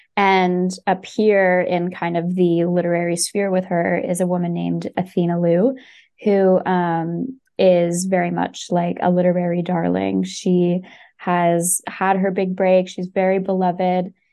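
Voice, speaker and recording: The delivery is fairly slow and set in a flat monotone. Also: woman. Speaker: company staff member, communications. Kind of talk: casual interview.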